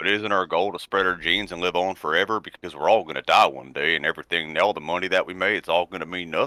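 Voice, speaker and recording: A man with a Southern US accent talks at a very fast pace with hardly any pauses, in a very deep, low pitch and a bright, sharp tone. His intonation is fairly even, and the sound is dry and close with no echo. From Arkansas, US South. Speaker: debate guest. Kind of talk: debate.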